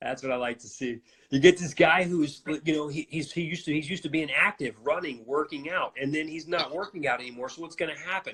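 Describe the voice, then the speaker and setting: A man's fairly high, bright, sharp voice with an American accent, delivered at a very fast pace with big swings in loudness. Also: ordinary pitch variation. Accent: slight Cajun. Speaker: functional neurology doctor. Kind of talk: casual interview chat.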